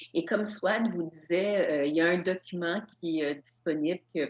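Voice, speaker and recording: A woman's fairly low voice at a fairly slow pace, a plain, everyday voice. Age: 60s. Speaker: yoga instructor and author. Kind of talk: lecture.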